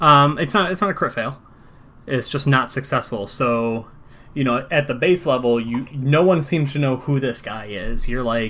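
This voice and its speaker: A man talks at a moderate pace in a fairly high pitch with a bright, sharp tone. His pitch varies an ordinary amount. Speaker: game master. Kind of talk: tabletop role-play session. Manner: casual, halting.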